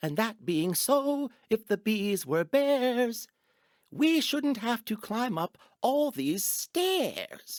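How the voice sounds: Using a put-on character voice with extremely high pitch, a man speaks at a very slow pace in a very clean recording with a silent background.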